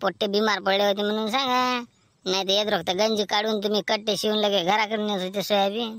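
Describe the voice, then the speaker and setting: This is a cartoonish character voice that sounds female. It sits at a medium pitch for a woman. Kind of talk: village comic cartoon dubbing. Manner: loud, blunt, argumentative.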